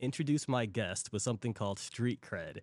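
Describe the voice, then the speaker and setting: A man speaks with a plain, everyday voice and lively intonation. The recording is very clean with a silent background. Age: 30s. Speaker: podcast host. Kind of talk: interview. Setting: restaurant.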